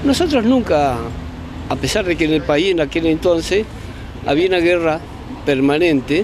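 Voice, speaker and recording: A man's high voice at a moderate pace, with long, frequent pauses, dry with no echo, over noticeable background noise. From Argentina, Bariloche. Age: 60s. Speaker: former political detainee. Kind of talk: testimony. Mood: earnest, emotional testimony. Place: open country. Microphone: handheld.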